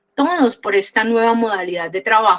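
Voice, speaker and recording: With a Cúcuta accent, a woman speaks at a fairly high pitch with ordinary pitch variation. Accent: Cúcuta accent, people think she is scolding. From Cúcuta, Colombia. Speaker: program host. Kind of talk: interview. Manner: loud, forceful.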